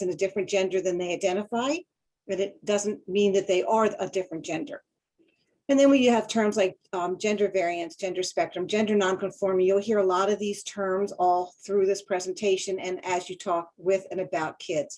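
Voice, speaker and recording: A woman's voice sits at a medium pitch with a dark, mellow tone. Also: ordinary pitch variation. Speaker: school counselor, webinar presenter. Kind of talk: webinar lecture. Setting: online webinar. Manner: fast.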